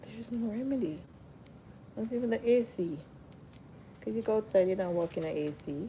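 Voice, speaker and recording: Soft-spoken and somewhat breathy, a woman with a medium pitch and a dark, mellow tone talks at a fairly quick pace with lively intonation and long, frequent pauses. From Jamaica. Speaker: hair and lifestyle livestreamer. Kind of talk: casual livestream chat. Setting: live stream.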